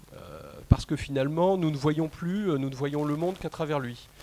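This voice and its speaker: This man's voice sits at a fairly high pitch. It carries a dark, mellow tone with ordinary pitch variation. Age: 40s. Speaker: personal development consultant and trainer. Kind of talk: conference talk. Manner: hesitant, many fillers.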